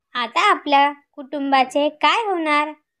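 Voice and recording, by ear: The pace is fairly slow. The tone is fairly bright. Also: woman.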